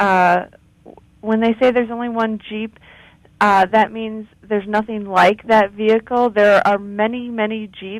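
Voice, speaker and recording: With a normal speaking voice, a woman talks at a moderate pace in a fairly high pitch and fairly even intonation. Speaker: customer service representative. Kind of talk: phone customer service call.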